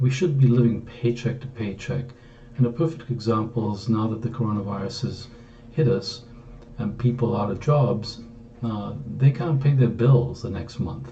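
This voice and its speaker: There is noticeable background noise and audible room echo. A man speaks at a moderate pace with a medium pitch and fairly even intonation. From Greece. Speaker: author. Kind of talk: book introduction talk. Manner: hesitant, frequent fillers.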